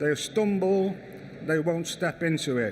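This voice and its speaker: A man speaks at a moderate pace in a fairly high pitch. Audible room echo surrounds his voice. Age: 60s. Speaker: architect. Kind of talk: conference talk. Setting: stage with audience. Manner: halting, repeats words.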